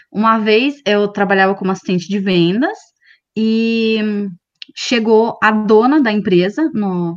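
A woman's normal speaking voice at a fairly high pitch, with ordinary pitch variation. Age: 30s. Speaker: career content creator. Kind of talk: casual chat.

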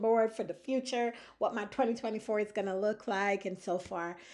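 A woman speaks at a fairly quick pace with medium pitch and ordinary pitch variation, over a quiet background. It is a plain, everyday voice. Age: 40s. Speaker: podcast host. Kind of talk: casual monologue.

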